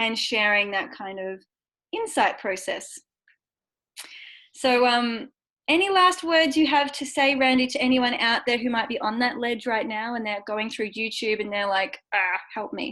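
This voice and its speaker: Speaking fairly slowly, a woman uses a high pitch, a bright, sharp tone and lively intonation. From Australia. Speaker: vestibular audiologist and therapist. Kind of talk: interview on a video call. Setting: video call.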